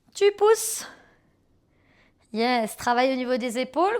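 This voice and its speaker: In a very clean recording with a silent background, a woman with a high pitch speaks at a fairly slow pace in an upbeat tone with lively intonation. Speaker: pilates instructor. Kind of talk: guided workout instruction. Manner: upbeat, encouraging.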